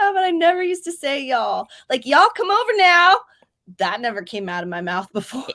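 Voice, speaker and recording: A woman's raised, projected voice with a Southern US accent, high in pitch, with very wide pitch swings and a fairly quick pace. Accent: Southern American. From US South, Georgia. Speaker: writing streamer. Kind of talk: casual chat. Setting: livestream.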